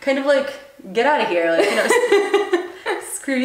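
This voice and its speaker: A high-pitched woman's voice with very wide pitch swings at a fairly slow pace, audible room echo and noticeable background noise. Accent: American. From US. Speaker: copywriter. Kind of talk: casual interview.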